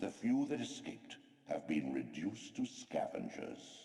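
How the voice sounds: In a put-on character voice, a man speaks slowly at an extremely low pitch, his dark, mellow tone marked by vocal fry and big pitch swings.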